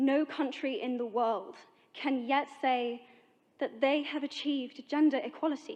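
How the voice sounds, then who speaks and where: With a British accent, a woman speaks at a high pitch and a fairly slow pace, using ordinary pitch variation. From Britain. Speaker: actress. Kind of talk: public speech.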